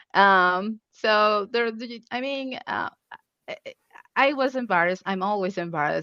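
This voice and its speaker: With a Spanish accent, a woman speaks at a fairly slow pace and ordinary pitch variation, in a dry, close sound with no echo. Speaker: UX researcher. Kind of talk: conference Q&A panel. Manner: halting.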